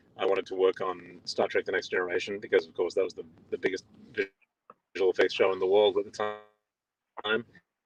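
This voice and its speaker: Over music in the background, a man with an Australian accent talks at a fairly quick pace with big swings in loudness, in a dry, close sound with no echo. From Australia, Melbourne. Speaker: visual effects supervisor. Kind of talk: interview. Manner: halting.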